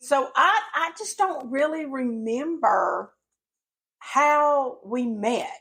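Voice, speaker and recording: A woman with a Southern accent speaks very slowly in a high, bright, sharp voice with lively intonation. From rural Tennessee. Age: 40s. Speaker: podcast co-host. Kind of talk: casual chat. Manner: loud.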